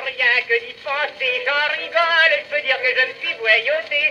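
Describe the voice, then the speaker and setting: Using a raised, projected voice, a man speaks at an extremely high pitch with ordinary pitch variation. His pace is fairly slow, and there is light background noise. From France. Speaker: music hall comedian. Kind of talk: comic monologue. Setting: early acoustic phonograph cylinder recording. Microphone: old recording.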